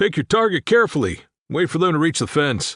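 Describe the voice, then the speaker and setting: Against a quiet background, a man doing a put-on character voice speaks at a fairly quick pace with a fairly high pitch and lively intonation. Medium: read story. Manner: clipped, commanding.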